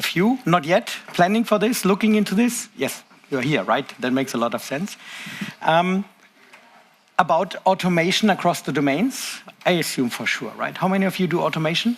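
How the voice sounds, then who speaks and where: Speaking at a moderate pace, a man uses a high-pitched voice with lively intonation. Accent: German. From Germany. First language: German. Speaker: tech conference presenter. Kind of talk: conference talk. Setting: stage with audience.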